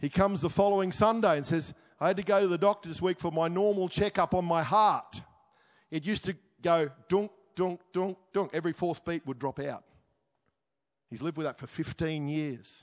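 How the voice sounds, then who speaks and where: A man with an Australian accent, high-pitched and fairly quick, with long, frequent pauses, ordinary pitch variation, and a dry, close sound with no echo on a very clean recording with a silent background. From Australia, Queensland (Crow's Nest). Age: 60s. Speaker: pastor. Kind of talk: sermon.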